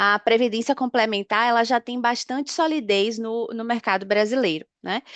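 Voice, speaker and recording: At a fairly slow pace, a woman with a fairly high pitch and a northeastern Brazilian accent speaks with ordinary pitch variation, her sound dry and close with no echo over a quiet background. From Northeast Brazil. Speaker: pension fund business analyst. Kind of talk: webinar presentation. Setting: online webinar.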